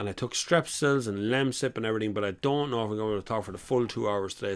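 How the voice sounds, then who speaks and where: A man's animated, very fast delivery with lively intonation. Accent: Irish. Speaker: car chat show host. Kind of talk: live-stream casual chat. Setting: live stream.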